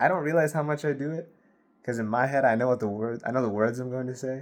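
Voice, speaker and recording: This man mumbles at a fairly quick pace. His pitch varies in an ordinary way. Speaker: vlogger. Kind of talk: casual monologue to camera. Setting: filming alone to camera at night. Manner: mumbling; fast.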